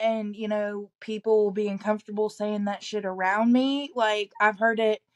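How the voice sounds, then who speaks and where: A woman with a slight Southern US accent speaks at a fairly high pitch in a dry, close recording with no echo. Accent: slight Southern twang. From East Tennessee. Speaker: salon owner. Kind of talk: casual chat.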